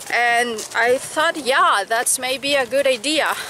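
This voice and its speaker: A woman with a high pitch speaks in a raised, projected voice at a very slow pace, her intonation lively. The sound is dry with no echo, though noticeable background noise comes through. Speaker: equestrian vlogger and riding coach; equestrian vlogger. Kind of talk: casual vlog talk to camera. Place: farm. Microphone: phone near.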